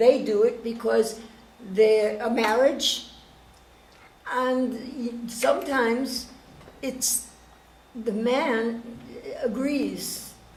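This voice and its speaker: Over noticeable background noise and audible room echo, a woman speaks with a high pitch. She goes at a very slow pace with long, frequent pauses. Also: fairly even intonation. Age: 70s. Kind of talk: panel discussion.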